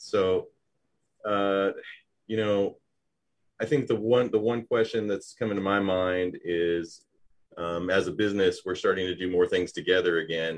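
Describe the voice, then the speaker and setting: A man speaks at a fairly low pitch with fairly even intonation. Long, frequent pauses break up his speech. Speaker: business show host. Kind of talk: live interview show. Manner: loud.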